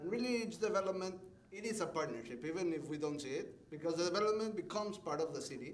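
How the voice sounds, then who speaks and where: A man with a non-native accent speaks with ordinary pitch variation, heard over noticeable background noise and audible room echo. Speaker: development manager. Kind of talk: public presentation at city meeting. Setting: city commission meeting chamber. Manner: passionate.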